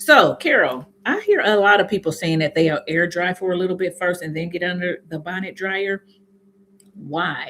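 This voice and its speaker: With an American accent, a woman speaks at a medium pitch and ordinary pitch variation against noticeable background noise. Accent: slight southern-sounding accent per viewers. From Indiana, US Midwest. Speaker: hair care youtuber. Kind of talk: casual live stream chat. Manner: fast; occasional stuttering.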